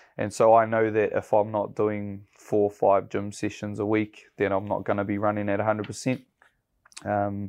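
A man speaks with a New Zealand accent. His pitch is fairly low and his pace moderate. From New Zealand, South Waikato. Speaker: builder and construction business owner. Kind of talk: interview. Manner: casual, with many fillers.

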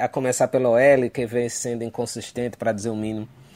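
A man's voice, monotone, with flat intonation. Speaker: fan contributor. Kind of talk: recorded voice message analysis. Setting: recorded audio message.

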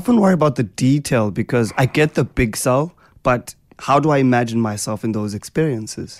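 A man with a South African accent is heard in a dry, close sound with no echo. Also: medium pitch for a man, ordinary pitch variation, fairly quick pace. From South Africa (Eastern Cape). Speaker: radio host. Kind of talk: radio interview chat. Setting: radio studio.

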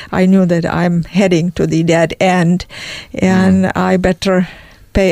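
A woman with a Czech accent speaks at a fairly slow pace. Her medium-pitched voice has monotone, flat intonation. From Czech Republic. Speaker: emigrant sharing life story. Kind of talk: interview testimony. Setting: studio.

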